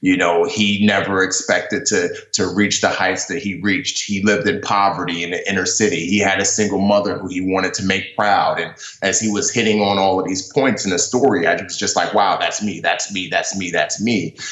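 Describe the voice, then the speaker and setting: Talking at a fairly quick pace with hardly any pauses, a man with an American accent has a fairly low pitch and fairly even intonation, with noticeable background noise and audible room echo. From New York, the Bronx. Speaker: former navy seal, author. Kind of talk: interview. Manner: many fillers like you know, um.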